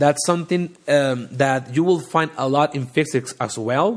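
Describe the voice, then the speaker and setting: A man with a strong non-native accent at a fairly slow pace. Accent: thick non-native English. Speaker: data science podcast host. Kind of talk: live educational talk. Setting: livestream, audio only. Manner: halting, many fillers.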